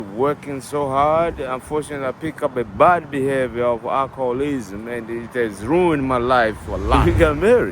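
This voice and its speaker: Moderate pace and hardly any pauses, with ordinary pitch variation over noticeable background noise. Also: man, medium pitch for a man. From Tanzania. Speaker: interviewee sharing addiction story. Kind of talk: street interview.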